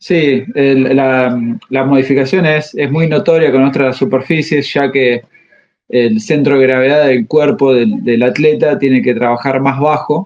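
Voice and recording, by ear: A man talks at a fairly slow pace in a slightly mellow tone. His intonation stays fairly even. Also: medium pitch for a man.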